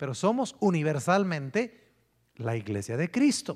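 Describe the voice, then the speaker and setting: The recording is very clean and the background silent. Pitch moves up and down very widely. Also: man. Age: 50s. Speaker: pastor. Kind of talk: sermon.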